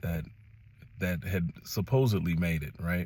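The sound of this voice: At a fairly slow pace, a man with an American accent talks in a low pitch, his slightly mellow tone carrying a slightly husky edge.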